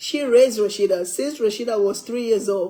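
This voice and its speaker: A woman's fairly high-pitched voice with a dark, mellow tone and ordinary pitch variation. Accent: African. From West Africa. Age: 60s. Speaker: cooking livestreamer. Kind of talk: casual livestream chat.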